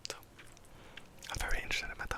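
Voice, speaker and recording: Noticeable background noise surrounds a man's whispering. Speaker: ASMR creator. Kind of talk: ASMR personal attention questions. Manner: whispered.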